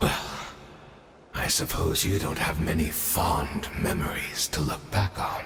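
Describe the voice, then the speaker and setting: A man's cartoonish character voice at a very deep, low pitch and a fairly slow pace, over loud background noise. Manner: weary, wry.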